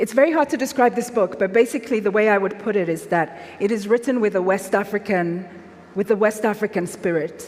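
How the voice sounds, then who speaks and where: Noticeable background noise sits behind a woman's voice. She speaks at a medium pitch with ordinary pitch variation. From Nigeria, Lagos. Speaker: author. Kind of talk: literary festival conversation.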